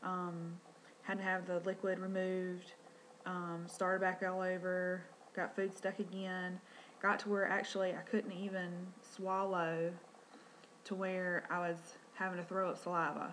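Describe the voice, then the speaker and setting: A woman with a Southern US accent speaks fairly slowly at a medium pitch, with monotone, flat intonation and long, frequent pauses. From North Carolina. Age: 30s. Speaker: vlogger, stay-at-home mom. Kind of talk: personal vlog introduction. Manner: hesitant, many fillers; quiet.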